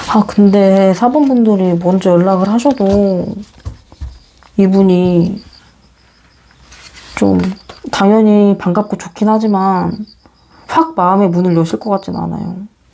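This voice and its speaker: A woman speaks very slowly, with long, frequent pauses. Her pitch is medium with ordinary variation, and there is noticeable background noise. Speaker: tarot reader. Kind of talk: closing greeting to viewers; tarot reading to camera. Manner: slight stutter.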